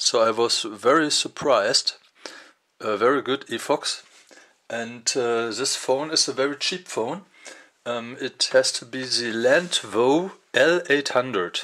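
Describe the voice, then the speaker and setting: A non-native accent at a fairly slow pace. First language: German. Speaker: tech reviewer. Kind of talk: unboxing video. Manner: halting, many fillers.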